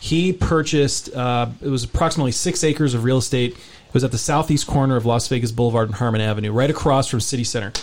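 A man with an American accent at medium pitch, talking very fast with hardly any pauses and ordinary pitch variation, over noticeable background noise. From US West Coast, San Francisco Bay Area. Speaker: real estate journalist. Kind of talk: radio interview.

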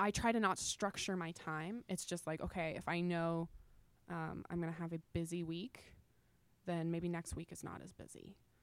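A woman with a fairly low pitch talks at a moderate pace, her intonation fairly even but her loudness swinging widely. She leaves long, frequent pauses, and the recording is very clean with a silent background. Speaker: entrepreneur and money coach. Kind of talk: interview conversation.

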